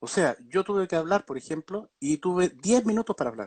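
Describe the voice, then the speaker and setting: A man's voice, dry and close with no echo, against a quiet background. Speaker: doctor specializing in vertigo. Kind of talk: online talk on a medical topic. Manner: fast; many filler words (eh, digamos).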